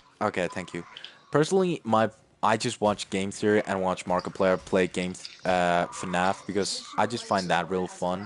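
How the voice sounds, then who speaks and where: Against noticeable background noise, a man with a very deep, low pitch speaks in fairly even intonation. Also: moderate pace. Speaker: gamer streamer. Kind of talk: casual chat. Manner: halting, stuttering.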